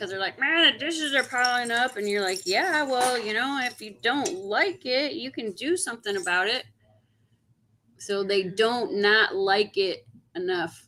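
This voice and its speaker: Loud and fairly slow, a woman speaks in a high voice that makes very wide pitch swings. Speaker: coin collecting livestream host. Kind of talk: casual livestream chat. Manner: gets very loud when excited.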